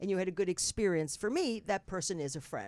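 A woman speaks very fast in a New Jersey accent. Her tone is animated and her intonation lively. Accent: New Jersey American. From New Jersey, North Bergen. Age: 60s. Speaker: talk show host. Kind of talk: casual chat. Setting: studio.

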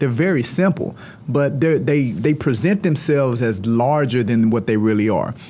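A man speaks at medium pitch and a moderate pace. His intonation is lively while his loudness stays very even. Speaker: real estate firm CEO. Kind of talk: casual interview. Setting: studio. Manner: animated.

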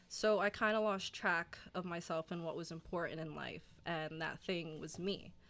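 A woman with a New Jersey accent, fairly low in pitch, at a moderate pace with fairly even intonation. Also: very clean recording, silent background. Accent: New Jersey American. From South Jersey, US. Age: 20s. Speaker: gym client, recent college graduate. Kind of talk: casual interview chat.

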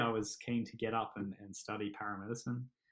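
Speaking with an Australian accent at a moderate pace, a man is heard on a very clean recording with a silent background. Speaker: paramedic and army veteran. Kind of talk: interview. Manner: hesitant, many fillers and repeats.

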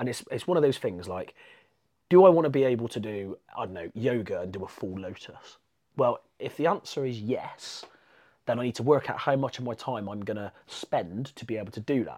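Over a silent background in a very clean recording, a man with an English accent speaks at a fairly quick pace in a dark, mellow tone, with lively intonation and big swings in loudness. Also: medium pitch for a man. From England. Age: 30s. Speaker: jiu-jitsu competitor. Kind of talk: casual chat.

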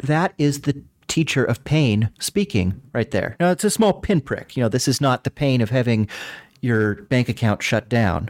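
In a very clean recording with a silent background and a dry, close sound with no echo, a man speaks with very wide pitch swings and very even loudness. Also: medium pitch for a man, moderate pace. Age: 30s. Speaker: philosophy professor. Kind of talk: casual chat.

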